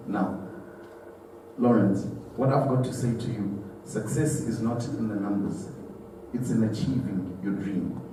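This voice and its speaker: Amid noticeable background noise and audible room echo, a man with a Zimbabwean accent speaks at a fairly slow pace and a medium pitch, using ordinary pitch variation and long, frequent pauses. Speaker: guest speaker at charity dinner. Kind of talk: speech at a gala dinner.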